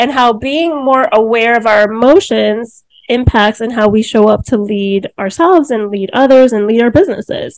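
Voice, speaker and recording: With an American accent, a woman speaks in a fairly high pitch at a moderate pace, using ordinary pitch variation. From New Jersey, Cuban-born. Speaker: podcast host, HR consultant. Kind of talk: casual interview.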